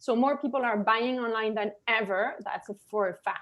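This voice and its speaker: A woman's high-pitched voice with a slight French accent. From France. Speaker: digital marketing consultant. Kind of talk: webinar presentation. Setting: webinar video call. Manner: animated, many filler words.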